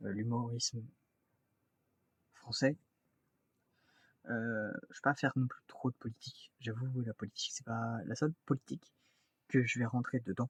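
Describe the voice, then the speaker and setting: A man talks in a medium pitch with a somewhat breathy voice and fairly even intonation. Long, frequent pauses and big swings in loudness run through his speech. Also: dry, close sound with no echo. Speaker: YouTuber. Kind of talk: casual vlog talk to camera. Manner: halting, many fillers and restarts; fast.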